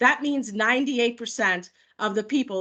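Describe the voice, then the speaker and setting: In a normal speaking voice, a woman with an American accent speaks at a moderate pace, her fairly high pitch carrying lively intonation over a quiet background. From New York. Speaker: product manager. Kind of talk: webinar presentation. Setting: video call. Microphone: video call.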